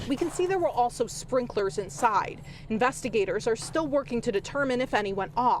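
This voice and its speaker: Against noticeable background noise, a woman with a high pitch speaks at a fairly quick pace with very wide pitch swings. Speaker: TV news reporter. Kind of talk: TV news reporter package and live report.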